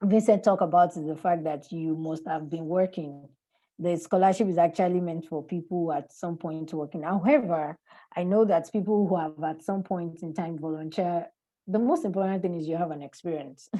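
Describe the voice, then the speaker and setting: Her dark, mellow tone sits at a fairly low pitch for a woman, with fairly even intonation over a quiet background. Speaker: webinar panelist. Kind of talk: webinar presentation. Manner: fast.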